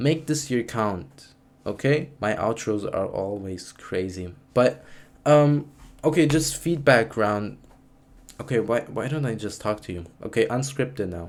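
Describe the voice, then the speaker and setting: A man speaks with a non-native accent at a medium pitch. His intonation is lively and his pace fairly slow. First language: not English. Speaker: student YouTuber. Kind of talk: casual unscripted vlog talk. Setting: talking to camera. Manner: halting, many fillers and restarts.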